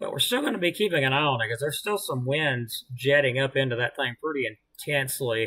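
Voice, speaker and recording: A man talks with a Southern US accent. He leaves hardly any pauses. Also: fairly high pitch for a man, ordinary pitch variation. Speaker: amateur weather livestreamer. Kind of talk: live weather commentary. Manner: casual, hesitant with fillers.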